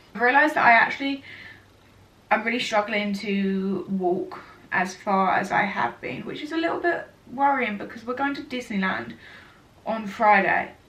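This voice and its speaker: Speaking at a moderate pace with long, frequent pauses, a woman is heard over noticeable background noise and audible room echo. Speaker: vlogger. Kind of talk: casual vlog chat. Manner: chatty, rambling with fillers.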